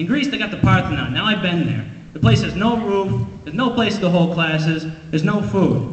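A man speaks at a fairly quick pace with very wide pitch swings, and audible room echo surrounds his voice. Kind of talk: comedic rant in a skit. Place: stage.

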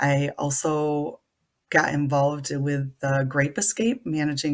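Against a quiet background, a woman speaks with an Upper Midwest accent in a very deep, low pitch. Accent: Upper Midwest American. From Michigan, US Midwest. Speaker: nonprofit executive director. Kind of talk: self-introduction profile. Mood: friendly, smiling. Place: home room. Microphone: webcam.

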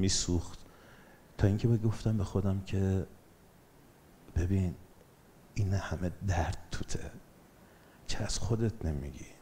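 A man speaks at a moderate pace with a very deep, low pitch and a dark, mellow, somewhat breathy tone, with ordinary pitch variation. Long, frequent pauses break his speech over light background noise. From Iran, Bandar Anzali (Gilan); Gilan, Iran. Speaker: documentary filmmaker and photographer; guest. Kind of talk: motivational talk; public talk. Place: hall. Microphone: headset.

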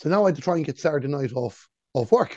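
In an Irish accent, a man speaks at a very fast pace with a fairly high pitch and a dark, mellow tone, in a dry sound with no echo and a quiet background. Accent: Irish (Galway). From Ireland. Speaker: sports radio commentator; radio sports commentator guest. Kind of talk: casual chat. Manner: calm. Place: home room. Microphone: earbuds.

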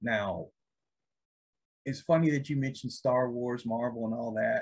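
A man talks at a fairly slow pace with ordinary pitch variation. His voice sounds somewhat breathy. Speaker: podcast host. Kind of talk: casual podcast chat. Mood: amused, relaxed.

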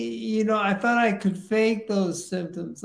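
Audible room echo surrounds a voice with ordinary pitch variation. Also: man. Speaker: Parkinson's patient, retired biotech executive. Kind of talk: interview conversation. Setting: video call / live stream. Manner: halting, many fillers and repetitions. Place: home room.

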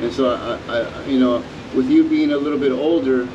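At a moderate pace, a man speaks with medium pitch and fairly even intonation amid clear background noise.

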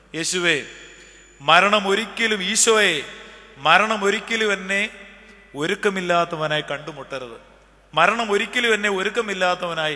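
Pitch shifts in an ordinary way in this voice. It belongs to a man. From Kerala, India. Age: 40s. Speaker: priest. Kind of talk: sermon. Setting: church. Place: church. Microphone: podium.

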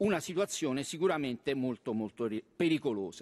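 This man talks at a fairly slow pace. His pitch varies in an ordinary way. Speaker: member of parliament. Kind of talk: parliamentary oratory, formal question on terrorism; parliamentary question. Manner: hesitant, filler-heavy, repeating words. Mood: serious, formal. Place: hall. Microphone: podium.

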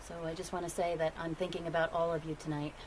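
There is light background noise as a woman speaks in a fairly low pitch. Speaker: vlogger. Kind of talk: casual vlog chat. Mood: sombre during the news part. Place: street.

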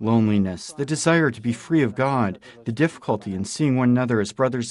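A normal speaking voice comes from a man at medium pitch. His intonation is lively and his pace fairly quick. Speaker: news narrator. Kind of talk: news reading. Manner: formal.

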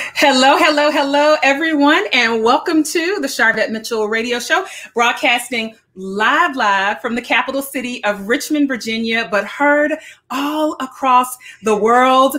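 At a fairly slow pace, a raised, projected voice carries ordinary pitch variation. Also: woman. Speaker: radio show host. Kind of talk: show host opening. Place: home room.

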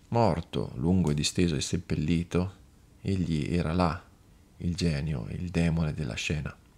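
A man's very deep, low voice with vocal fry, dramatic tone, fairly slow pace, ordinary pitch variation and long, frequent pauses. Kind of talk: scripted narration, audiobook reading of a horror tale. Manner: slow, hushed, ominous, with eerie dramatic pauses building dread.

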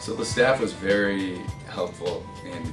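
A man speaks at a fairly slow pace with a very deep, low pitch. Clear music plays in the background. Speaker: marketing graduate, intern. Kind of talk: interview answer. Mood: friendly, enthusiastic. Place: office. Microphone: camera far.

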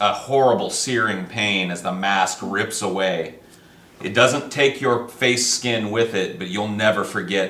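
Ordinary pitch variation within a natural reading voice

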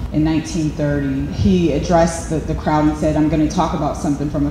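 A woman speaks fairly quickly in an American accent. Audible room echo and noticeable background noise surround her voice. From Braddock, Pennsylvania. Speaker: artist and photographer. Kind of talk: artist interview. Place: hall. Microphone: handheld.

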